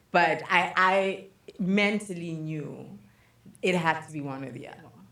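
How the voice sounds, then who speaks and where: A woman with a fairly low pitch and ordinary pitch variation talks at a moderate pace, her loudness swinging widely, in a space with audible room echo. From Zimbabwe. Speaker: podcast co-host. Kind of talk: casual chat. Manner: expressive.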